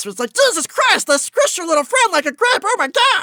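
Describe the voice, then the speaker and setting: A put-on character voice at an extremely high pitch, with very wide pitch swings and a fairly quick pace. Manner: comical, exaggerated.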